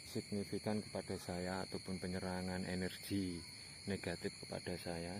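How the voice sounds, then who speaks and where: Fairly slow speech from a man with a very deep, low pitch. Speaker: paranormal explorer vlogger. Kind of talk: vlog narration. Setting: outdoors at night near houses. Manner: quiet, lowered voice.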